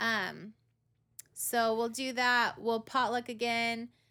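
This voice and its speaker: A woman with an American accent, fairly high pitch and a bright, sharp tone in a very clean recording with a silent background. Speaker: church podcast host. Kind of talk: casual chat.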